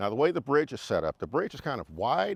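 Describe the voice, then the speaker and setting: A man with vocal fry and very wide pitch swings, speaking very fast in a dry, close sound with no echo. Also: quiet background. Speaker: motorcycle riding instructor and YouTuber; navy veteran. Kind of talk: casual talk to camera. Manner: clear, well-spoken.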